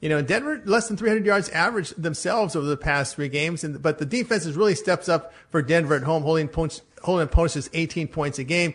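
Hardly any pauses break this very fast speech, which has ordinary pitch variation. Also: man, high pitch for a man. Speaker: sports betting handicapper. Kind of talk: sports betting picks discussion.

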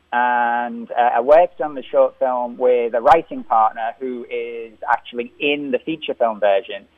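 A man with a Liverpool accent talks at a fairly slow pace. He leaves hardly any pauses. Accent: Liverpool (Scouse). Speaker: film director. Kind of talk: interview. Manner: halting.

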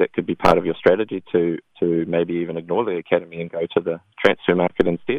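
A man speaks with a New Zealand accent. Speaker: video game developer. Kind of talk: radio interview.

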